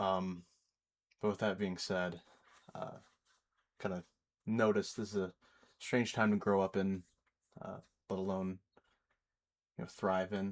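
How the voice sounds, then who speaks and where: Speaking at a fairly slow pace with long, frequent pauses, a man with an American accent and a very deep, low pitch keeps a monotone, flat intonation. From United States. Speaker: YouTuber. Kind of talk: unscripted personal monologue. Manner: hesitant, many fillers.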